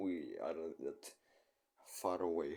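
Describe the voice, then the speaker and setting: A man talks with a non-native accent. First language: not English. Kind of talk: casual chat, video reaction. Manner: halting.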